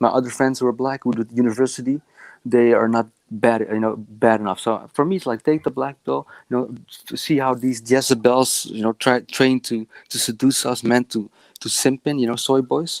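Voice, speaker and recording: In a dry, close recording with no echo, a man with a Dutch accent speaks at a moderate pace, medium in pitch, with fairly even intonation. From Netherlands. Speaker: caller. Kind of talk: casual chat. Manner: halting.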